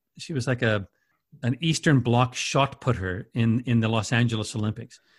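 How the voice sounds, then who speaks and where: Recorded very cleanly against a silent background, a man with a Canadian accent uses a normal speaking voice at a medium pitch, with ordinary pitch variation and a moderate pace. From Winnipeg, Canada. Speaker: radio station CEO and broadcaster. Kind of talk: casual interview chat.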